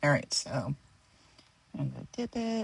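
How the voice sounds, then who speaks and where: Soft-spoken, a woman talks at a moderate pace, the sound dry and close with no echo. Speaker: stationery and ink hobbyist vlogger. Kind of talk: casual tutorial demo. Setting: home studio. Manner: hesitant, thinking aloud.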